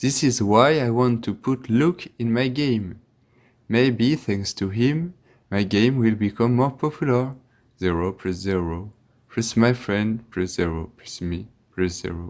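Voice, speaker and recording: On a very clean recording with a silent background, the speaker talks at a fairly slow pace in a French accent with lively intonation. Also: man, medium pitch for a man. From France. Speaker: Latin teacher and game developer. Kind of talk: tutorial.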